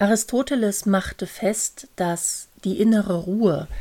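A woman speaks at a medium pitch. Her tone is dark and mellow, with ordinary pitch variation. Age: 50s. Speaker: podcast host and coach. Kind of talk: solo podcast monologue.

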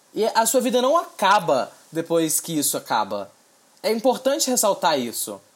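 With very wide pitch swings, a man speaks in a high-pitched voice. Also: moderate pace. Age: 20s. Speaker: podcast host. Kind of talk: solo commentary podcast. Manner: casual, filler-heavy.

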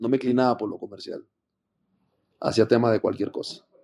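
This man's voice sits at a medium pitch with a dark, mellow tone, recorded dry and close with no echo. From Panama. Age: 30s. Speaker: rapper. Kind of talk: casual interview.

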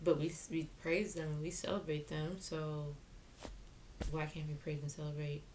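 With an American accent, the speaker sounds somewhat breathy, keeping a moderate pace and fairly even intonation. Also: woman. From New York, Jamaican heritage. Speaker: podcast co-host. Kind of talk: casual political chat.

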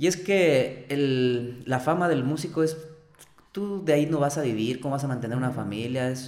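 Audible echo from the room and noticeable noise in the background accompany this man's voice. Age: 30s. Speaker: singer. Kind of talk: casual chat.

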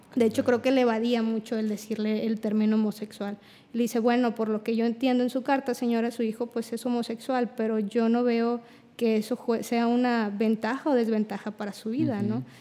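A woman with a dark, mellow tone and fairly high pitch speaks fairly quickly in a monotone, flat intonation. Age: 20s. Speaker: clinical psychologist. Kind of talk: casual chat.

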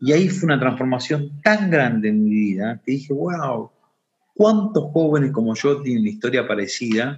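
A man with a medium pitch and a somewhat breathy voice talks at a moderate pace, his intonation lively. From Argentina, Buenos Aires area. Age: 30s. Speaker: social entrepreneur. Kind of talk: interview testimony.

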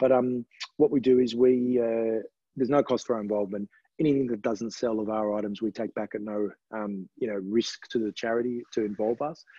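With an Australian accent, a man speaks at a fairly quick pace in a medium pitch, his intonation fairly even. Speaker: charity auctioneer. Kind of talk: podcast interview. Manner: hesitant, many fillers.

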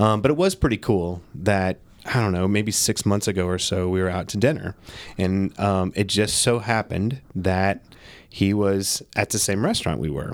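In a very clean recording with a silent background, a man with an ordinary speaking voice talks at a moderate pace, his pitch fairly low, with ordinary pitch variation. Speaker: podcast host. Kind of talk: casual chat. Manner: casual, conversational.

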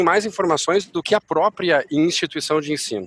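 Pitch varies in an ordinary way at a moderate pace. There is no echo, and the sound is dry and close. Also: man. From Uruguay. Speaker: education entrepreneur. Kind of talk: podcast interview.

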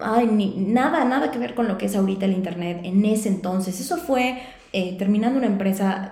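In an energetic tone, a woman talks at a fairly quick pace and medium pitch with ordinary pitch variation, amid audible room echo and noticeable background noise. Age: 30s. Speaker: sales and LinkedIn consultant, podcast host. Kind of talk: solo podcast monologue.

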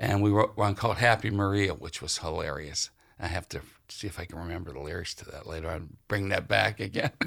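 A man with an American accent speaks at a fairly quick pace in a very deep, low voice with vocal fry and ordinary pitch variation. His loudness swings widely on a very clean recording with a silent background. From western Pennsylvania, near Ohio border. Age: 60s. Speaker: musician and author. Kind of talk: interview. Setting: public library.

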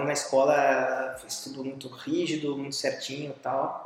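This man talks with a Brazilian accent at a fairly high pitch, with noticeable background noise behind him. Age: 40s. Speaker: visual artist. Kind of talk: interview. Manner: halting.

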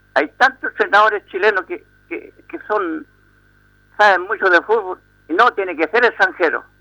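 A man with a high pitch uses a raised, projected voice with a bright, sharp tone, very wide pitch swings and long, frequent pauses, in a dry, close sound with no echo. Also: moderate pace. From Santiago, Chile. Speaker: caller. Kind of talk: radio phone-in.

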